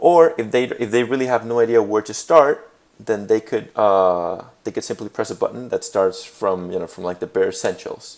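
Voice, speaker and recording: With a Spanish accent, the speech moves at a moderate pace with hardly any pauses. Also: man. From Puerto Rico. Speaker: graduate student. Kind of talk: class presentation. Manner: hesitant, many fillers.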